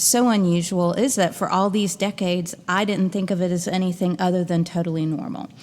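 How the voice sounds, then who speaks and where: In an unremarkable speaking voice, a woman with an American accent talks at a moderate pace. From US Midwest (Louisville, Kentucky and Chicago). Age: 40s. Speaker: podcast host and interfaith minister. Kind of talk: podcast monologue. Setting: log cabin. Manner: casual, conversational with fillers.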